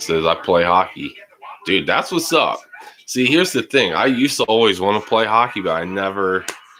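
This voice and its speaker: This man's pitch sits fairly low, and his intonation is lively. He speaks at a moderate pace over noticeable background noise. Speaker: live stream football reaction host. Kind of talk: live stream chat and game commentary. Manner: casual, upbeat.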